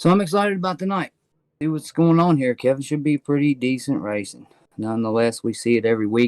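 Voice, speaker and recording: Recorded very cleanly against a silent background with a dry, close sound and no echo, a man speaks at a moderate pace. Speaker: sim racing commentator. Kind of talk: live commentary. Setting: commentary booth.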